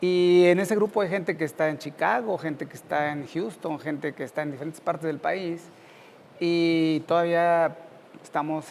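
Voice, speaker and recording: Here is a man with an ordinary speaking voice, pitched fairly high. He moves at a moderate pace with ordinary pitch variation. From central Mexico (Cuautla, Morelos), then Mexico City. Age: 50s. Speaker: university professor. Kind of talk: interview.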